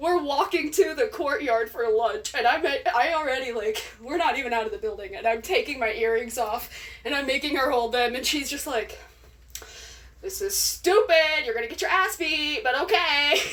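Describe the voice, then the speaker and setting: This speaker has an American accent, talks at a moderate pace with very wide pitch swings, and there is noticeable background noise. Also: woman, high pitch for a woman. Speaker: social media storyteller. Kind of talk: casual storytelling. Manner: animated.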